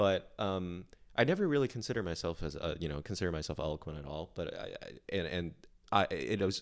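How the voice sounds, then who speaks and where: Fairly quick speech from a man with a very deep, low voice. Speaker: podcast co-host. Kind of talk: casual chat. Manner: laughs a lot while talking.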